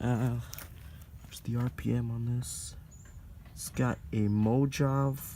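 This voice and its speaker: Quiet and at a very slow pace, a man with a medium pitch and a dark, mellow tone speaks with long, frequent pauses and big swings in loudness. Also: ordinary pitch variation. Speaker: HVAC enthusiast vlogger. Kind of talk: casual video narration. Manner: quiet, early morning; halting, many fillers.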